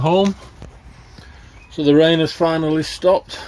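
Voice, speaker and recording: A man speaks at a moderate pace in a fairly high pitch. Noticeable background noise runs under his voice. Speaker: allotment gardening vlogger. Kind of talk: casual vlog narration. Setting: outdoors at allotment. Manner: loud.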